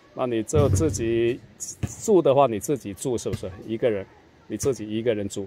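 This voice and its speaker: Music plays in the background as a man speaks at a moderate pace with ordinary pitch variation, the sound dry with no echo. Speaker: travel vlogger. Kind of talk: casual interview questions. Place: street. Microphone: phone near.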